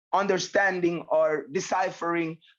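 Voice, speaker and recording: A man with a Jamaican accent speaks at a moderate pace in a high, flat, monotone voice. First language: Jamaican patois. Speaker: reggae artist. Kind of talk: interview.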